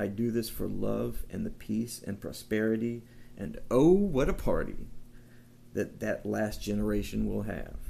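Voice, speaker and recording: A man speaks at a fairly slow pace. Audible room echo can be heard. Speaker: amateur philosophy vlogger. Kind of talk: casual monologue. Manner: halting, with fillers.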